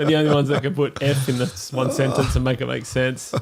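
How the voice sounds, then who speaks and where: A man with an Australian accent, fairly high pitch, fairly quick pace and fairly even intonation, over noticeable background noise. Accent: Australian, noticed by Americans. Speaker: podcast co-host. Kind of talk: casual chat.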